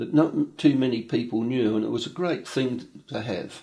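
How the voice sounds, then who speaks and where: With an Australian accent, a man speaks. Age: 80s+. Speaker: retired telegraphist. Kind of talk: documentary interview. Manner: halting.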